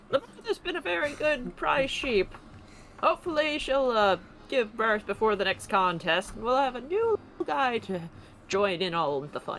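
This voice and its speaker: A put-on character voice at a fairly high pitch comes through with clear background noise. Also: moderate pace. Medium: actual play. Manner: folksy, unhurried.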